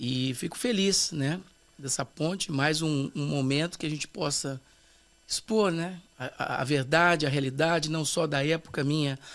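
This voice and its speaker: A man with an ordinary speaking voice and fairly high pitch talks at a fairly slow pace with ordinary pitch variation. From Brazil, São Paulo. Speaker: pastor, former TV performer. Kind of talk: casual interview chat.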